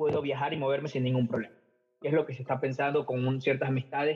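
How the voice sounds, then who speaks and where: A man speaks with music in the background. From Ecuador. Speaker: English teacher. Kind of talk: interview.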